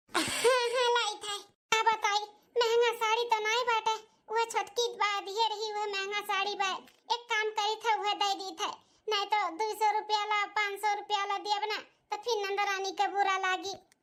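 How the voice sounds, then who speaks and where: A woman uses a cartoonish character voice at an extremely high pitch. Her delivery is monotone and flat, at a moderate pace. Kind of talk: rustic family melodrama. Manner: plaintive, rustic.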